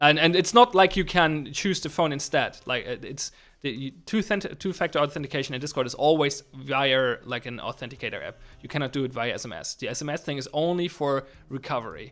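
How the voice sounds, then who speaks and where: A man with a German accent speaks fairly quickly at a fairly high pitch, with ordinary pitch variation and big swings in loudness. The recording is very clean, with a silent background. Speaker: game developer streamer. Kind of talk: livestream chat while programming. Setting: livestream. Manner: halting, many restarts.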